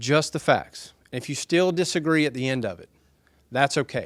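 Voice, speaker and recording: On a very clean recording with a silent background, a man with a Southern US accent speaks at a fairly high pitch with ordinary pitch variation. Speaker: speaker for a development project at a town hall. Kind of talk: public speech at a town hall meeting. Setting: town hall meeting with audience. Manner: soft-spoken, quiet talker.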